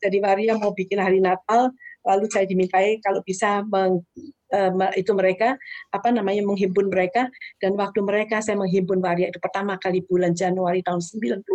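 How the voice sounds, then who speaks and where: Flat, monotone intonation from a woman at medium pitch. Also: fairly quick pace. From Indonesia, Surabaya (East Java). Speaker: charity foundation founder. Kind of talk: interview, personal testimony.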